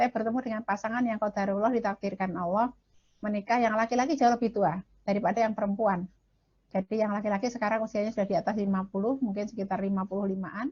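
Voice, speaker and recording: A woman's fairly high, shrill, somewhat breathy voice, very fast, with fairly even intonation. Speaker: marriage counselor and speaker. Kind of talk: lecture.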